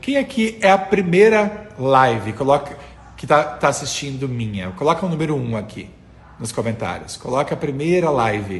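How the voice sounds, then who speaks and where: With noticeable background noise behind him, a man speaks at a moderate pace in a fairly high pitch, his voice making very wide pitch swings. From interior of Rio Grande do Sul, Brazil. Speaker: communication and voice coach. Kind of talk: Instagram live coaching talk with viewers. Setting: Instagram live stream. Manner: animated, chatty with many fillers.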